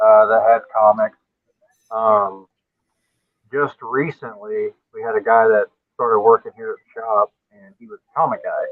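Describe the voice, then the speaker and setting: A man with a strong Southern US accent, his speech broken by long, frequent pauses. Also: moderate pace. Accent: Southern US, thick. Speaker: guest comic collector. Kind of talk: casual chat.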